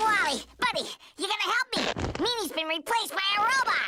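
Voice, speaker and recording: This is a cartoonish character voice at an extremely high pitch. It moves at a fairly quick pace. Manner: fast, wisecracking, says "man".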